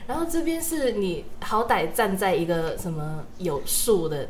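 A woman talks in a Cantonese accent at a fairly slow pace. Audible room echo surrounds her speech. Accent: Cantonese-accented Mandarin. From Hong Kong. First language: Cantonese (speaking Chinese). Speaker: university student podcast co-host. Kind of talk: casual chat.

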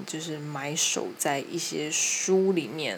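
Amid noticeable background noise and audible room echo, a woman speaks at a very slow pace with ordinary pitch variation. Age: young. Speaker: podcaster. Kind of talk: casual chat.

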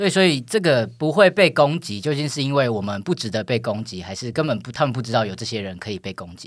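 A man talks very fast with hardly any pauses, his pitch swinging very widely and his loudness rising and falling sharply. The recording is very clean, with a silent background. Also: medium pitch for a man. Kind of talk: casual chat. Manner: halting, many fillers.

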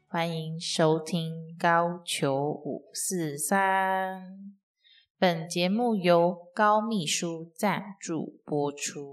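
A woman talks at a very slow pace in a quiet background. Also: ordinary pitch variation. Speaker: podcast host and entrepreneur. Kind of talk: casual solo podcast monologue. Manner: chatty with frequent fillers.

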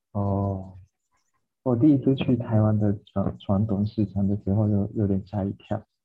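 Fairly low in pitch, this man speaks at a fairly slow pace. His intonation stays fairly even. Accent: Japanese. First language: Japanese (speaking Chinese). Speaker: podcast co-host. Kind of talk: casual chat.

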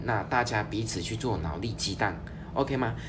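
Vocal fry marks this man's voice, heard with audible room echo. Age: 30s. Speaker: finance podcast host. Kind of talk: solo podcast monologue. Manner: casual with frequent fillers.

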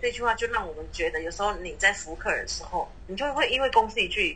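Noticeable noise underlies speech delivered fairly quickly. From Taiwan. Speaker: flight attendant. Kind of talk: casual chat.

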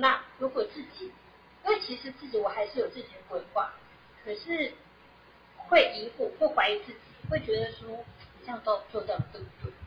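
A woman at a moderate pace, with big swings in loudness, long, frequent pauses, and noticeable background noise. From Taiwan. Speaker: SAP consultant. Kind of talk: interview. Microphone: too quiet at first.

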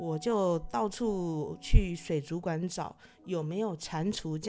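Over music in the background, a woman with a fairly low pitch speaks at a very slow pace with ordinary pitch variation. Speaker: podcast host. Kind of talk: casual monologue. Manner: hesitant, many filler particles.

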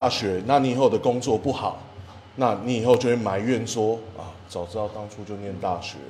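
A man's medium-pitched, somewhat breathy voice at a moderate pace, with ordinary pitch variation and big swings in loudness. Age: 30s. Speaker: egg crepe shop owner and drum teacher. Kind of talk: casual interview.

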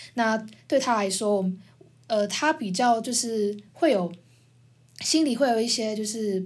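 A woman with a fairly high, somewhat breathy voice talks fairly slowly. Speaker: podcast host, university student. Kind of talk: casual chat.

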